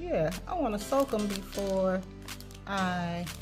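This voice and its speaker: Over clear music in the background, a woman talks at a very slow pace. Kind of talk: casual vlog chat. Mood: excited, cheerful. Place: home room. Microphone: phone near.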